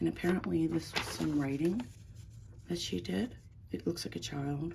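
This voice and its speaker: A quiet woman's voice, very deep and low-pitched, at a fairly slow pace. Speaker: crafter and online seller. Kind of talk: casual craft flip-through. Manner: quiet, talking low; casual, meandering.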